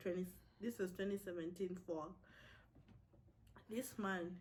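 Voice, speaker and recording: A somewhat breathy woman's voice with ordinary pitch variation at a fairly slow pace. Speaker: college student vlogger. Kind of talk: casual chat.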